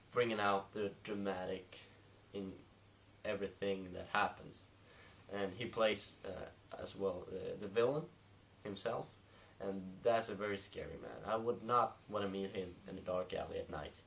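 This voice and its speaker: A man with a non-native accent talks at a moderate pace in a fairly low pitch. His intonation is fairly even, and he takes long, frequent pauses. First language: not English. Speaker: film reviewer. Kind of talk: casual review monologue. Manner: many fillers and hesitations (um, uh).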